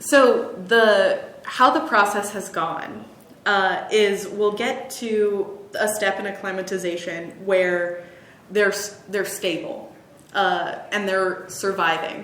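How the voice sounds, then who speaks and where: A woman talks at a very slow pace. There is audible room echo and noticeable background noise. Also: medium pitch for a woman, ordinary pitch variation. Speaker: conservation horticulturist. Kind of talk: casual chat.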